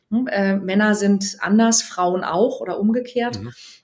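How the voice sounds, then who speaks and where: Lively intonation marks a normal speaking voice that keeps a moderate pace. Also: woman. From Germany, Bergstraße region (Hesse/Baden border). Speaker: dating and relationship coach. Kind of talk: casual interview.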